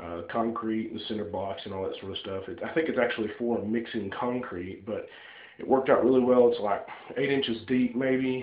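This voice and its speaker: Medium-pitched male voice at a moderate pace, with audible room echo. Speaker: DIY hobbyist. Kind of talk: casual tutorial walkthrough. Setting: home bathroom. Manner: hesitant, many fillers.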